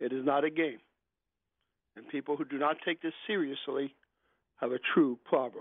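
Pausing long and often, a man talks at a moderate pace and fairly high pitch, with ordinary pitch variation and big swings in loudness. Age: 50s. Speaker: caller. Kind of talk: phone-in call.

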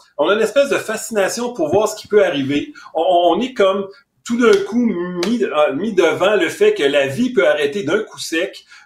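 Lively intonation marks this man's speech. His pitch sits high. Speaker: forensic psychiatrist. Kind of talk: interview. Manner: halting, repeats words.

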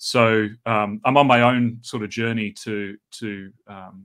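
A fairly low-pitched male voice with fairly even intonation, in a very clean recording over a silent background. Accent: New Zealand. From New Zealand. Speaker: New Testament scholar. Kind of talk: casual interview.

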